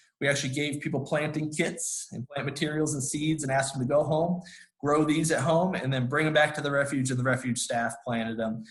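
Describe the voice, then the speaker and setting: A man speaks at a fairly quick pace. His pitch is fairly high, and his intonation fairly even. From US Midwest. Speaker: conservation nonprofit director. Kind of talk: presentation. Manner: fast; many fillers and restarts.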